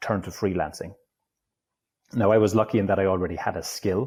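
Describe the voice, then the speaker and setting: A man speaks with a dark, mellow tone, a fairly low pitch, fairly even intonation and an Irish accent. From Ireland. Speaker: digital nomad, online entrepreneur. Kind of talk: interview conversation.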